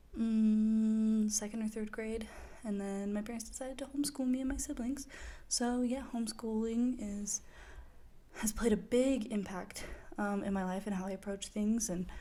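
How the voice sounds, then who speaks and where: Speaking at a moderate pace in an American accent, a woman uses a fairly high, somewhat breathy voice with a dark, mellow tone and fairly even intonation. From Idaho, US. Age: 20s. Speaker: podcaster, college student. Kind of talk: casual monologue podcast. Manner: hesitant, many fillers.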